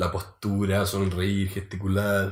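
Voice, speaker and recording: Somewhat breathy, a man speaks slowly in a fairly low pitch. He has a Chilean accent. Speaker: podcast co-host. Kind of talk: casual chat.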